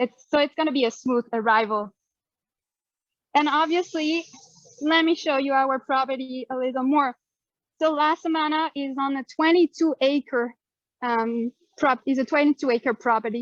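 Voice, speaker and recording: In a French accent, a woman with a high pitch talks at a moderate pace with ordinary pitch variation and long, frequent pauses, the sound dry and close with no echo. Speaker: hotel staff member giving a tour. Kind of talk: live guided tour. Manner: casual, with many fillers.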